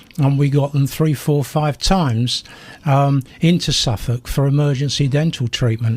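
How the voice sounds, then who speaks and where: A man with a South London accent speaks at a moderate pace in a fairly high pitch, with ordinary pitch variation and very even loudness. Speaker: retired teacher and campaigner. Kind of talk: radio interview. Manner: animated.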